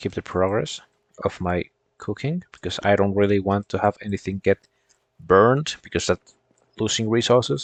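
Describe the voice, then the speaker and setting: A man with a non-native accent speaks at a moderate pace in a fairly low pitch, with ordinary pitch variation and long, frequent pauses. The background is quiet, and the sound is dry and close with no echo. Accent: foreign accent, non-American. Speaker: gaming streamer. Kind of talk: casual gameplay commentary. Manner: halting, repeats words.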